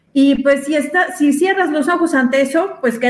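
Speaking fairly slowly, a woman uses lively intonation. She has a Mexican accent. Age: 40s. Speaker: feminist activist. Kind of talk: panel discussion.

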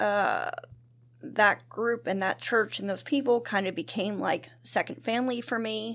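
Someone with an American accent speaks in a plain, everyday voice at a moderate pace with ordinary pitch variation, on a very clean recording with a silent background. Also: woman. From US, central Pennsylvania. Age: 40s. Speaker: churchgoer sharing testimony. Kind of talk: casual testimony interview.

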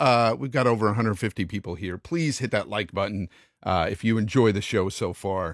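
A man speaks at a fairly quick pace in a fairly low voice with ordinary pitch variation and an unremarkable speaking voice, recorded dry and close with no echo on a very clean track with a silent background. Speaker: livestream host. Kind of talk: casual livestream chat. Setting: livestream.

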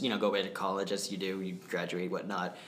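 Room echo can be heard clearly as a man talks. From New Hampshire, US. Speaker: community theatre actor. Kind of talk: interview.

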